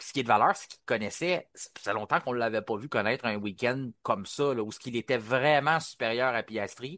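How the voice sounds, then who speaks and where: Fairly quick speech in a Quebec accent, with big swings in loudness, hardly any pauses, and a dry, close sound with no echo. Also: man, medium pitch for a man, ordinary pitch variation, quiet background. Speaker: podcast host. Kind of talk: casual panel discussion.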